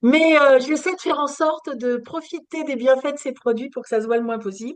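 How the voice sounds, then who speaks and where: A woman talks with a high pitch and ordinary pitch variation. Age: 60s. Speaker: skincare product distributor. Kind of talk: sales pitch. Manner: animated.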